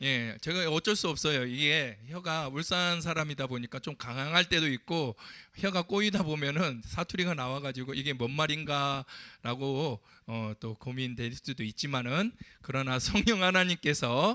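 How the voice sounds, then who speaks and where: The man's bright, sharp voice sits at a fairly high pitch with ordinary pitch variation and a fairly slow pace, heard dry and close with no echo on a very clean recording with a silent background. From Ulsan, South Korea. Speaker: pastor. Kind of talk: sermon. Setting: church pulpit.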